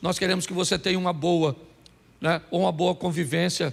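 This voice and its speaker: Intonation stays fairly even as a man talks in a high-pitched voice. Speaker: pastor. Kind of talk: sermon.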